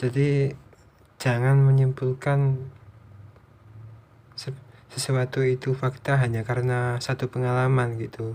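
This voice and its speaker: This man's voice has a dark, mellow tone and is somewhat breathy. His intonation is monotone and flat, broken by long, frequent pauses. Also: medium pitch for a man, fairly slow pace. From East Java, Indonesia. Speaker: vlogger. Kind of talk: unscripted monologue. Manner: halting; casual.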